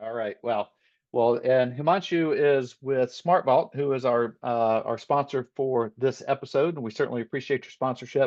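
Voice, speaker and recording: In a normal speaking voice, a man talks at a moderate pace and medium pitch with ordinary pitch variation. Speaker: webinar host. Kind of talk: webinar hosting.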